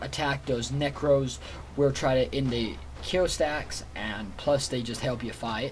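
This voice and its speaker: A man speaks at a fairly slow pace with ordinary pitch variation. Light background noise can be heard. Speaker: gamer. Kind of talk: gameplay commentary.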